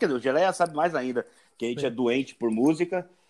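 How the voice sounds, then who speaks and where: An unremarkable speaking voice with ordinary pitch variation comes through in a very clean recording with a silent background. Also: man. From São Paulo, east zone (Itaim Paulista). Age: 40s. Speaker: tattoo artist and surfer. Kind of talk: casual chat.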